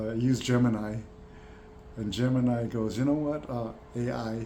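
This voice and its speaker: A man's medium-pitched voice at a fairly slow pace, with noticeable background noise. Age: 60s. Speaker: veteran program participant. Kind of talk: casual talk to camera. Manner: hesitant, many fillers.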